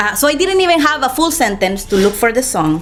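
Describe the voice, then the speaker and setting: A woman with a Spanish accent speaks at a moderate pace. Her pitch swings very widely over noticeable background noise. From Costa Rica. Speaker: storyteller. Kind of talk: storytelling performance. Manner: halting, with fillers.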